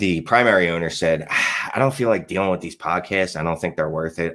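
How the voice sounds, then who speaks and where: This man has a very deep, low voice and a strong Philadelphia accent. He talks at a fairly quick pace. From Philadelphia, US. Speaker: fantasy football writer and podcaster. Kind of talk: podcast interview. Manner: casual, many fillers.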